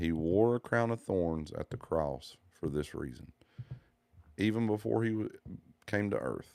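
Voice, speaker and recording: In a Southern US accent, a man talks at a fairly slow pace with lively intonation and a dark, mellow tone. He leaves long, frequent pauses. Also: fairly low pitch for a man. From US South. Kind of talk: religious monologue.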